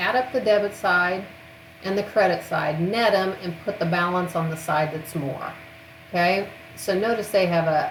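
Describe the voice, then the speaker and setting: A woman talks at a moderate pace, her fairly low pitch showing ordinary variation. Audible room echo and noticeable background noise fill the recording. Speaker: accounting instructor. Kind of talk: recorded lecture.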